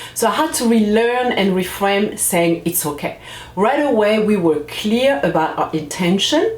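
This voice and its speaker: A woman with a French accent speaks at a fairly slow pace, her pitch swinging very widely while her loudness stays very even, with audible room echo and noticeable background noise. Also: medium pitch for a woman. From France, Comorian family. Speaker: parenting coach, channel host. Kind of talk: casual vlog talk to camera. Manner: halting, with fillers and restarts.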